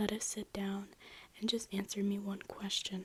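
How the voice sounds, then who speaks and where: Soft-spoken, a woman talks at a medium pitch. Her pace is moderate. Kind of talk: ASMR soft-spoken reading of a classic novel.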